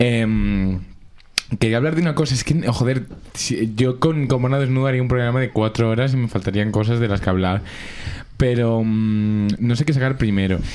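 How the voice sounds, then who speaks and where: Music plays in the background as the speech moves at a moderate pace, with long, frequent pauses. Loudness stays very even, and pitch varies in an ordinary way. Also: man, medium pitch for a man. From Madrid (Alcorcón). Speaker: radio show host. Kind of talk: casual chat. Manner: animated.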